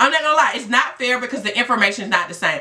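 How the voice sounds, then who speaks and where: The tone is animated. The intonation is lively. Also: woman. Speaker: STD life coach and vlogger. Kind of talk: passionate vlog rant. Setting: video blog. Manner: emphatic. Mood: frustrated, insistent. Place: home room. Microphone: phone near.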